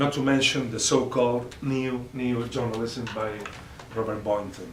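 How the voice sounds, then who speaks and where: A man with a non-native accent speaks at medium pitch with fairly even intonation. Noticeable background noise and audible room echo are present. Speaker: professor. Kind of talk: lecture read from text. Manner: halting, frequent uh and repetitions.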